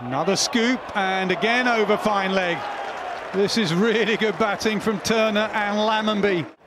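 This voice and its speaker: Over crowd noise in the background, a man with a high pitch talks in an animated tone at a moderate pace. His pitch variation is ordinary and his loudness very even. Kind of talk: sports commentary. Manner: animated, analytical, builds excitement.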